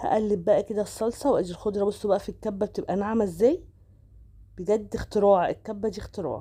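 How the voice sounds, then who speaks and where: A woman with a dark, mellow tone and medium pitch talks at a fairly quick pace with ordinary pitch variation. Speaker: cooking vlogger. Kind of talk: cooking tutorial. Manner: casual, chatty.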